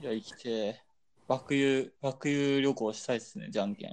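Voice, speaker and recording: An unremarkable speaking voice from a man, fairly high in pitch, at a moderate pace, with lively intonation and big swings in loudness. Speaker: podcast co-host. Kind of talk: casual chat.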